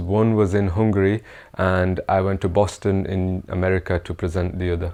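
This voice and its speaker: Against a quiet background, a man with a fairly low pitch and a dark, mellow tone speaks in a monotone, flat intonation. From northern England, Bradford. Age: 20s. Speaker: PhD engineering graduate, award nominee. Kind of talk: award nominee testimony. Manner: hesitant with fillers.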